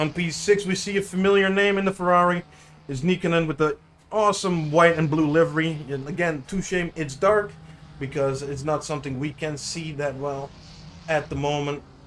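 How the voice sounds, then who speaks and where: A man in a Dutch accent, fairly high-pitched, with ordinary pitch variation and a moderate pace. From Netherlands. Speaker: sim racing commentator. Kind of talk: live commentary. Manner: halting.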